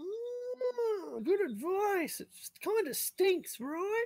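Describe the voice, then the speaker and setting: A man speaks in a put-on character voice pitched extremely high. He goes at a very slow pace. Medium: actual play. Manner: rambling, casual, stammering.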